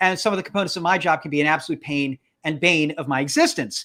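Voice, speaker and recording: A man projects a raised voice with a bright, sharp tone and ordinary pitch variation. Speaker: podcast co-host. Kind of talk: casual chat. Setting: livestream. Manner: loud, hyper; halting, many restarts.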